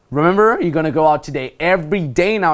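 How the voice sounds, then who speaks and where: A man with a fairly high voice speaks very fast in an animated tone with lively intonation, in a very clean recording with a silent background. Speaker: dating coach. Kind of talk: instructional talk. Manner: loud.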